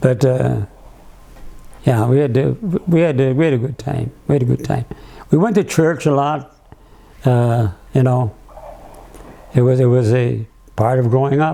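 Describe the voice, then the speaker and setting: A man speaks at a moderate pace, leaving long, frequent pauses. Background noise is noticeable. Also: medium pitch for a man, ordinary pitch variation. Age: 90s. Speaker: elderly interviewee. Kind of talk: reminiscing interview. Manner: halting; frequent repetitions.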